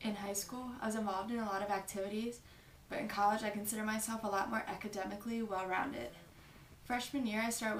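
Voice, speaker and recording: The voice moves at a fairly quick pace in monotone, flat intonation. Audible room echo and noticeable background noise surround it. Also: woman. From New Jersey (Westmont). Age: 20s. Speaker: college student. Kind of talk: application video monologue. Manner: formal.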